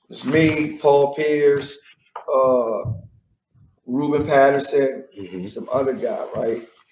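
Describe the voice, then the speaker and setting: At a very slow pace and with an American accent, a man of fairly high pitch shows ordinary pitch variation, big swings in loudness and long, frequent pauses amid audible room echo. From Washington DC, northeast side. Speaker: former basketball player. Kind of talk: interview.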